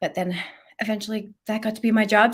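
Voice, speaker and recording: With a Canadian accent, a woman talks at a fairly quick pace with a fairly high pitch and a plain, everyday voice. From Canada, Alberta. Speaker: children's ministry author and speaker. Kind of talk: podcast interview.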